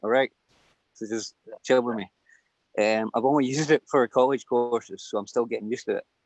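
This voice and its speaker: A Glaswegian-accented man speaks at a medium pitch and a fairly quick pace. His intonation stays fairly even, broken by long, frequent pauses. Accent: Glaswegian Scottish. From Scotland, Glasgow. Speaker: livestream guest. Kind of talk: casual chat.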